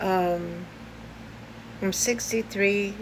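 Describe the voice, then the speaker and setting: With a New York accent, a woman speaks in a space with audible room echo. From US Northeast, Brooklyn, New York. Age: 60s. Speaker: video blogger. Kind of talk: personal vlog. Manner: halting, many fillers.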